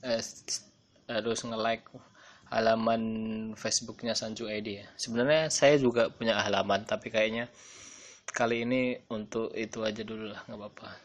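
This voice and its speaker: A man talks at a moderate pace in a monotone, flat intonation. His loudness swings widely, and long pauses come often. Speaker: podcaster and online shop owner. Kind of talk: casual solo podcast.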